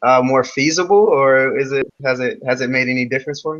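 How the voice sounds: Speaking at a fairly quick pace, a man has a medium pitch and a fairly bright tone.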